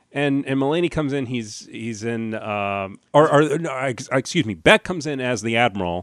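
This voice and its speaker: A man with an American accent and a plain, everyday voice speaks at a moderate pace and medium pitch, with lively intonation and hardly any pauses. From New Jersey. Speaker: podcast host, comedian. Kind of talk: casual chat.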